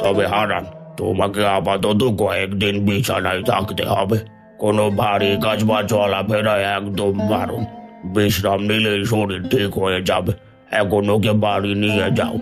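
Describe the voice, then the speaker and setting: A man uses a cartoonish character voice, fairly low and flat in a monotone. He speaks at a fairly slow pace with clear music in the background. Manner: measured, authoritative.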